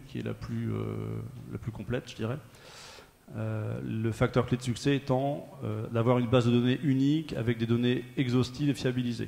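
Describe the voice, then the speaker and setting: A man with a medium pitch talks fairly quickly, his intonation fairly even. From Normandy, France. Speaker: transport company manager. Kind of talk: panel testimony. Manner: hesitant, many fillers.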